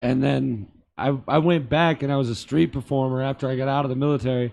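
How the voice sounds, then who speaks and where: A man speaks very fast with a Boston accent. His pitch is medium and his intonation fairly even. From Boston area, Massachusetts. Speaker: comedian and street performer, army veteran. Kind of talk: casual chat. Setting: theater.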